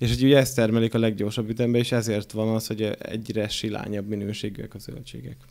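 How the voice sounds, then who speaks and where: The background stays quiet as a man speaks at a very fast pace with hardly any pauses. His medium-pitched voice keeps fairly even intonation. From Hungary, Borsod; Hungary. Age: 30s. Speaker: podcast host. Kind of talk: casual chat. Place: studio. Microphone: studio mic.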